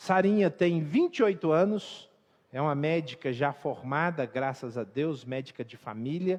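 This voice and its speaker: Using a Minas Gerais accent, a man with a fairly high pitch speaks fairly slowly, with lively intonation and big swings in loudness. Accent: Minas Gerais (mineiro). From Brazil, Minas Gerais (Belo Horizonte). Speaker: pastor. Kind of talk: sermon.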